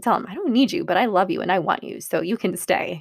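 A woman speaks in an animated tone. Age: 30s. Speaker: podcast host and divorce coach. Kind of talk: solo podcast monologue.

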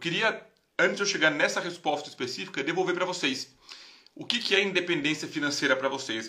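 A man speaks at a very fast pace. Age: 30s. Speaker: investment educator, live stream host. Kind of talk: casual live stream talk. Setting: live stream.

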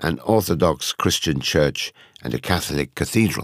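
A man at a moderate pace, with vocal fry and very wide pitch swings. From Ukraine. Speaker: Holocaust-era survivor recalling childhood.

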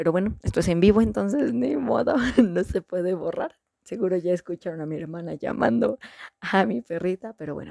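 Dark and mellow in tone with vocal fry, the voice moves at a fairly quick pace through very wide pitch swings, the sound dry and close with no echo. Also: woman, fairly low pitch for a woman. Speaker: book review podcaster. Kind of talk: casual monologue.

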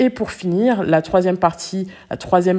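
Her tone is dark and mellow, and this woman's pitch varies in an ordinary way. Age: 30s. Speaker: relationship coach and podcast host. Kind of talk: solo podcast monologue. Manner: conversational with frequent hesitations.

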